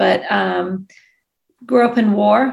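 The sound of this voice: Vocal fry and little pitch movement come through with audible room echo. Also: woman.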